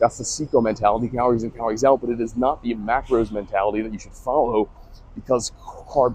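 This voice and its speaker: A man speaks at a very fast pace. His medium-pitched voice keeps a fairly even intonation. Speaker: fitness content creator. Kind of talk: casual vlog monologue while walking. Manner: slurring speech; casual, filler-heavy.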